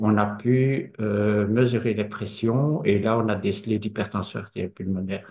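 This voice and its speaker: In a plain, everyday voice, a man speaks at a fairly slow pace and fairly low pitch with hardly any pauses. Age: 50s. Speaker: patient. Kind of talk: testimony.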